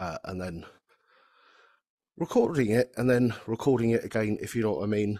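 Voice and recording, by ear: A man's dark, mellow voice at a fairly low pitch and moderate pace, with a slightly husky edge, in a dry, close sound with no echo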